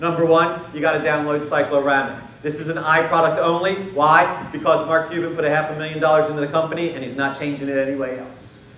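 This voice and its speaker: A man speaks very fast at a fairly high pitch, with hardly any pauses. Audible room echo and noticeable background noise come through. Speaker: conference keynote speaker on sales. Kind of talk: conference presentation. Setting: stage with audience. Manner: animated.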